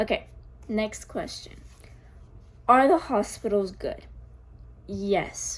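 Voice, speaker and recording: This woman talks at a very slow pace with an American accent. Her speech is broken by long, frequent pauses. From US Northeast, Connecticut. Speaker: vlogger. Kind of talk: casual Q&A vlog. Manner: hesitant, many fillers.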